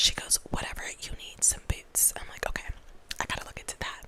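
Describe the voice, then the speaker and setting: A woman whispers with an American accent. Noticeable background noise can be heard behind her. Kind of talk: casual chatty ASMR talk to camera. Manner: soft-spoken, whispery.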